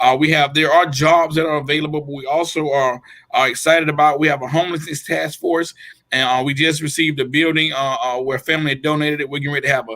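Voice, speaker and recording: This man has a Georgia accent and a fairly high, bright, sharp voice. He talks very fast with monotone, flat intonation. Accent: US South, Georgia. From Georgia, Waynesboro. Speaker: mayor. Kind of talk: interview.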